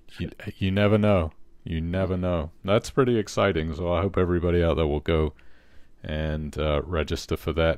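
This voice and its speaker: This man's voice is very deep and low. His delivery keeps a moderate pace. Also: ordinary pitch variation, quiet background. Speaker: podcast host. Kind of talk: interview.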